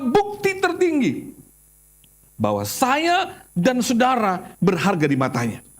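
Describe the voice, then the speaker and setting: A man speaks in an extremely high, animated voice with very wide pitch swings. Audible echo fills the room. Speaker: pastor. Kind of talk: sermon.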